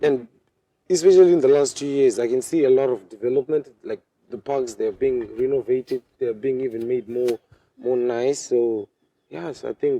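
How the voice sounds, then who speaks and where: In a Zimbabwean accent, a man speaks at a moderate pace with a dark, mellow tone. The sound is dry and close, without echo. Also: medium pitch for a man, ordinary pitch variation. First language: Shona. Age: 20s. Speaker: medical student. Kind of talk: interview. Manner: halting.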